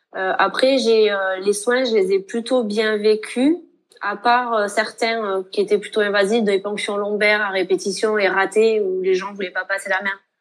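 In a normal speaking voice, a woman at medium pitch talks at a fairly slow pace with fairly even intonation. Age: 20s. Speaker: nurse and author. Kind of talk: interview testimony.

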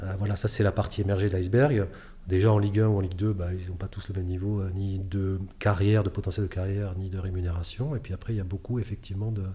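A man speaks at a very fast pace and a fairly low pitch with fairly even intonation. His tone is dark, mellow and somewhat breathy. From France, Bordeaux. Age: 40s. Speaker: adventurer and mountaineer. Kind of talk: interview storytelling.

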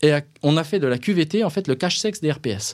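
Very wide pitch swings from a man at a moderate pace, on a very clean recording with a silent background. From Franche-Comté, France. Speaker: occupational health consultant. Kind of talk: interview conversation.

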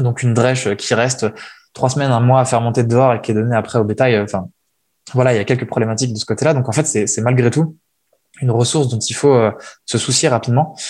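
Fairly even in intonation, this man talks at a medium pitch and a very fast pace. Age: 20s. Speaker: furniture designer and entrepreneur. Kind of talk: interview. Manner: hesitant, many fillers and repetitions.

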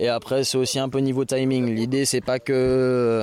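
A man talks at a medium pitch with monotone, flat intonation. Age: 20s. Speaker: volunteer association founder. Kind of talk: interview; briefing volunteers. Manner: loud.

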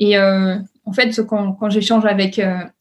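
A woman talks in a somewhat breathy voice at a fairly high pitch. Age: 30s. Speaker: startup founder. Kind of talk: interview. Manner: hesitant, many fillers.

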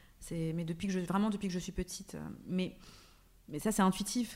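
Her voice is somewhat breathy. This woman's pitch shifts in an ordinary way. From France, Paris suburbs. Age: 30s. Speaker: actress and wellness blogger. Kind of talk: casual chat. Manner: halting, many repeated words.

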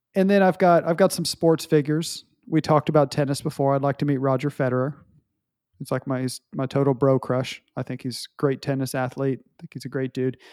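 A man's fairly quick, fairly high-pitched speech in an unremarkable speaking voice, fairly even in intonation but with big swings in loudness, dry and close with no echo on a very clean recording with a silent background. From US small town. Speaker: podcast co-host. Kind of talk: casual chat.

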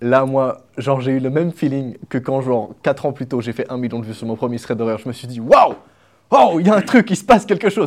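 On a very clean recording with a silent background, a man talks in an animated tone with lively intonation at a fairly quick pace. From Switzerland, small village. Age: 20s. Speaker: YouTube content creator. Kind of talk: casual interview chat. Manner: animated, casual slang.

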